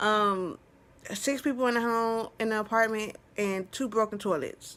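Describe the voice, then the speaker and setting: This woman's voice sits fairly high and moves at a fairly slow pace with fairly even intonation. The recording is very clean, with a silent background. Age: 20s. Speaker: vlogger. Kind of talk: casual vlog talk.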